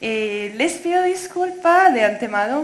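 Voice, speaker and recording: In an Italian accent, a woman speaks at a very slow pace with very wide pitch swings, amid noticeable background noise and audible room echo. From Italy. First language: Italian (speaking Spanish). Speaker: doctoral researcher. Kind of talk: academic talk read aloud. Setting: conference. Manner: halting.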